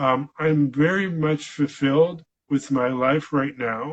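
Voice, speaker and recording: Very slowly and somewhat breathily, a man with a fairly high pitch speaks with an Upper Midwest US accent. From Michigan. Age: 60s. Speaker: veterinarian and stroke survivor. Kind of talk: interview. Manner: halting, many fillers.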